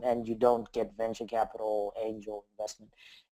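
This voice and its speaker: This man has a non-native accent. His voice sounds dark and mellow. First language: not English. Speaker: software developer. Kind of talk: interview.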